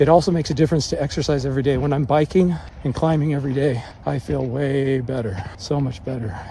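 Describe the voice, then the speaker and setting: Through noticeable background noise, a man with a fairly high pitch speaks at a very fast pace. His intonation stays fairly even. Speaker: vlogger with Parkinson's disease. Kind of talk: casual vlog monologue. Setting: outdoors on a mountain. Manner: low volume, little inflection; halting with repetitions.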